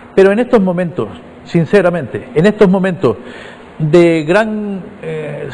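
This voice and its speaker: A man with a high pitch and ordinary pitch variation talks against noticeable background noise. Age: 60s. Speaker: politician. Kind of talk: interview.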